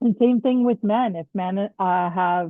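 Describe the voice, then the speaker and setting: A woman in a plain, everyday voice talks at a fairly slow pace with ordinary pitch variation. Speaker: dental hygiene instructor. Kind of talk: lecture.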